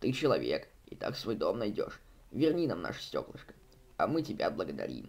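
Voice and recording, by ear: Putting on a character voice, a man speaks at a fairly quick pace in a low pitch with very wide pitch swings. His tone is slightly mellow, with vocal fry.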